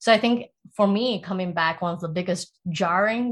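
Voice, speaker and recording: A somewhat breathy woman's voice of medium pitch, with ordinary pitch variation, a moderate pace and a quiet background. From Singapore (raised in Taiwan to age 10). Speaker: product manager. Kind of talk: casual interview.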